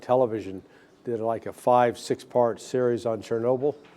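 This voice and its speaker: A man with an American accent, medium in pitch, dark and mellow in tone, at a fairly quick pace. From United States. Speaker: talk show host, former intelligence analyst. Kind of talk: interview.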